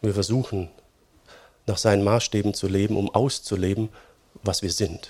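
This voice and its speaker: Somewhat breathy, a man speaks at a fairly low pitch. His pace is fairly slow. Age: 40s. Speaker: pastor. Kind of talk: sermon. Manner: conversational, many fillers.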